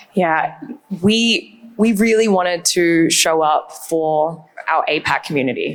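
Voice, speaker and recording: Over noticeable background noise, a woman speaks at a very slow pace with very even loudness. Her pitch is fairly low, with ordinary variation. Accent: Australian. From Australia. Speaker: brand communications executive. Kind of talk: panel discussion.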